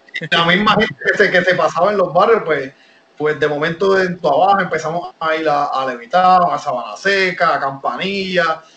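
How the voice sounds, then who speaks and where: Against noticeable background noise, a man with a high voice talks at a moderate pace with ordinary pitch variation. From Puerto Rico. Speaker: professional wrestler. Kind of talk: interview.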